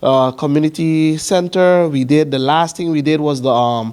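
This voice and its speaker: A man with a Sint Maarten accent speaks at a moderate pace, his tone dark and mellow. His pitch sits fairly high and his intonation is fairly even. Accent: Sint Maarten Caribbean English. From Sint Maarten, Dutch Quarter. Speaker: community council president. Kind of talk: presentation at information session. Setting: evening information session with audience.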